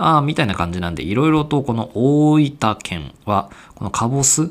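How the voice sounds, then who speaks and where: Talking at a fairly slow pace, a man with an ordinary speaking voice uses lively intonation at a medium pitch. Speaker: podcast host. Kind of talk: casual chat.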